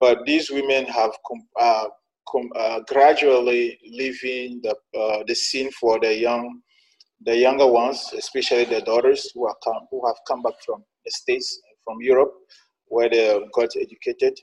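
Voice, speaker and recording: A man with a Togolese accent at a moderate pace. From Togo, northern (Sokode). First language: Tem. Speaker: journalist and entrepreneur. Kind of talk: interview. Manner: halting, with frequent fillers.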